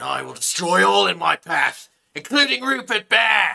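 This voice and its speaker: A put-on character voice at a moderate pace. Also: man, fairly high pitch for a man. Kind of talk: comic overacting. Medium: solo performance. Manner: gloating, boastful, rising to a shout.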